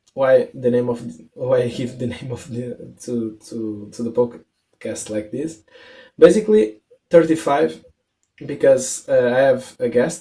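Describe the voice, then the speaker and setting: With a dark, mellow tone and medium pitch, a man talks at a fairly slow pace, his loudness swinging widely. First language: not English. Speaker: podcast host. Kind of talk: casual interview. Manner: halting, many repetitions and fillers.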